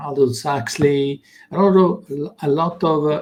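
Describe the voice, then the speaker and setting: A man's somewhat breathy, fairly high voice in an Italian accent, moving at a fairly slow pace. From Italy. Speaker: consciousness teacher. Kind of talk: interview. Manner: halting.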